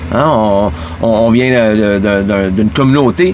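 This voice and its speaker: Over noticeable background noise, a man with a fairly low pitch and lively intonation speaks at a very slow pace. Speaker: podcast host. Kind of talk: casual monologue. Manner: halting, many fillers and repeats.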